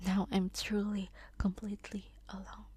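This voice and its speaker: This woman is soft-spoken. She talks at a very slow pace. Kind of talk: sleep story reading.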